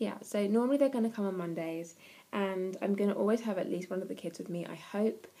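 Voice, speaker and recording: A very fast woman's voice with an English accent, dark and mellow in tone, medium in pitch, with ordinary pitch variation. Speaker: parenting vlogger. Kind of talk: casual vlog.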